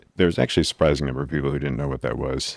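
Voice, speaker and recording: Dry and close with no echo, a man's voice sits at a very deep, low pitch with vocal fry. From New England, New Hampshire. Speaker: physician podcast host. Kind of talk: solo podcast advice monologue. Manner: casual, conversational with fillers.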